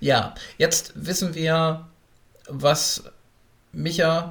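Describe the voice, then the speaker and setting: A man is talking. His delivery is very slow. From Berlin. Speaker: podcast host. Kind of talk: interview.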